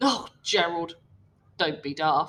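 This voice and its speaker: A woman uses a put-on character voice pitched fairly low. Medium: read story.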